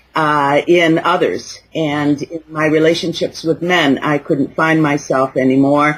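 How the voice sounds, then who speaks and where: Her pitch very deep and low, a woman speaks at a fairly slow pace with hardly any pauses and monotone, flat intonation. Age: 60s. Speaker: life coach for midlife women. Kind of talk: interview. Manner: halting, many fillers.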